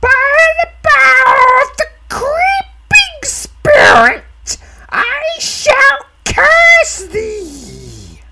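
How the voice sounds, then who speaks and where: A put-on character voice at an extremely high pitch, growling, with very wide pitch swings and a very slow pace. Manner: menacing, cursing.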